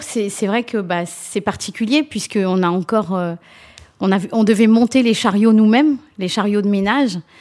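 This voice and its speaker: Fairly high in pitch, a woman with an unremarkable speaking voice talks at a moderate pace with ordinary pitch variation. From France, raised from age 4 (Mauritian family). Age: 40s. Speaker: nursing home housekeeping manager. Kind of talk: interview.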